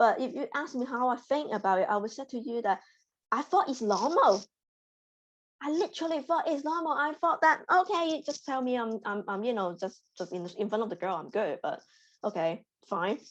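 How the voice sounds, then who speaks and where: Her pitch high, a woman speaks with very wide pitch swings. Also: moderate pace. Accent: Hong Kong. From Hong Kong. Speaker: data scientist. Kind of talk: interview testimony. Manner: halting, repetitive.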